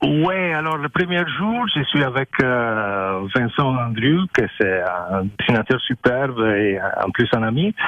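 A man at a very slow pace and medium pitch, with very wide pitch swings and noticeable background noise. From Italy, learned French as a child in Africa. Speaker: artist. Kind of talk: radio interview. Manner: halting.

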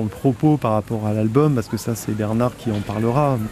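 Pitched in the medium range, this man has an unremarkable speaking voice. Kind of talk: radio presentation.

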